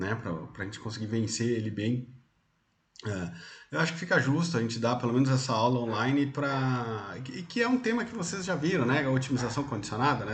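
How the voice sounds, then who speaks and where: Lively intonation marks this somewhat breathy man at medium pitch, talking at a fairly quick pace. Audible room echo is present. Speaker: university lecturer. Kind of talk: lecture. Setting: online class from home.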